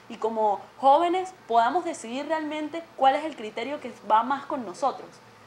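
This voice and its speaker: Over light background noise, a woman speaks with a high voice and lively intonation. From Venezuela. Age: 20s. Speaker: student representative; guest. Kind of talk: TV interview. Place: studio.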